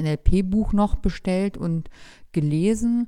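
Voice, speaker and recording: A dark, mellow tone with ordinary pitch variation on a very clean recording with a silent background. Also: woman. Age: 30s. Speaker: pharmacist, new mother, former NLP student. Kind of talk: interview. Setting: studio, sitting next to host.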